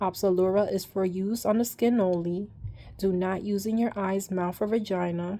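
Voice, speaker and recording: A woman with a dark, mellow tone speaks at a medium pitch and moderate pace in a monotone, flat intonation. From New York. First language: Spanish (bilingual from childhood). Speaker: vlogger sharing treatment experience. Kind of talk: casual talk reading out drug label. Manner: hesitant, many ums.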